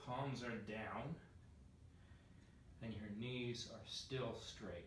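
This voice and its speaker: A man's fairly even intonation comes through amid audible room echo and noticeable background noise. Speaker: yoga instructor. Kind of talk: tutorial. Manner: halting.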